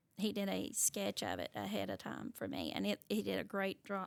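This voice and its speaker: A woman with an Appalachian accent speaks in a dry, close recording with no echo. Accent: Appalachian US Southern. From Eastern Kentucky, Pike County. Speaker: teacher. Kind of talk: interview.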